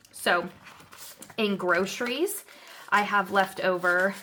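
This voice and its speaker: A woman's medium-pitched voice comes through with noticeable background noise behind it. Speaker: budgeting vlogger. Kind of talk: casual vlog tutorial. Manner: casual, with filler words.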